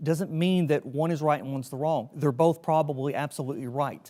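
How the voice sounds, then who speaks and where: This very clean recording has a silent background. A man with a Southern US accent speaks at a fairly high pitch with fairly even intonation. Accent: Southern US, noticeable. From Tennessee. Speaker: emergency preparedness trainer, army veteran. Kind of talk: training lecture. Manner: casual, conversational.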